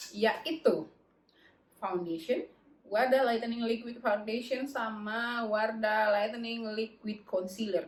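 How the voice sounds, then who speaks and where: Somewhat breathy and fairly high-pitched, a woman speaks at a very slow pace. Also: ordinary pitch variation. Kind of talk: beauty product review to camera. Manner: casual, chatty.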